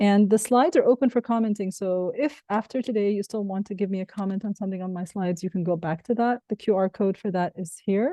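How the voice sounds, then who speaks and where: In a dry, close recording with no echo and a quiet background, a woman with an Arabic accent speaks very fast with hardly any pauses, at a medium pitch with ordinary variation and a dark, mellow tone. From Egypt. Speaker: professor and keynote speaker. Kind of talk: conference keynote.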